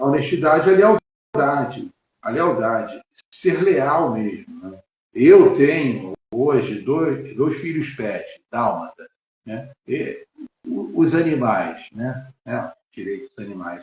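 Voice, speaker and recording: A man with vocal fry and a fairly high pitch speaks at a very slow pace, with long, frequent pauses and big swings in loudness. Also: lively intonation. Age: 60s. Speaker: lawyer and physical education teacher. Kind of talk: interview on a live stream. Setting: live stream video call. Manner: halting, many fillers.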